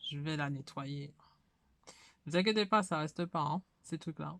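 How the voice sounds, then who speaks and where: A woman talks at a very slow pace with a very deep, low pitch. The recording is very clean, with a silent background. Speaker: hobby YouTuber. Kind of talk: casual tutorial. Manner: hesitant, many fillers.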